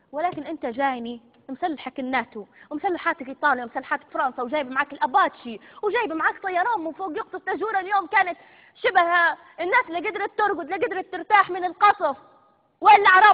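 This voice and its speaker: Speech moves at a fairly quick clip. Its intonation rises and falls in a lively way. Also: woman, extremely high pitch for a woman. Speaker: TV presenter. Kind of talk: live TV broadcast. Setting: studio. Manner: hysterical, threatening.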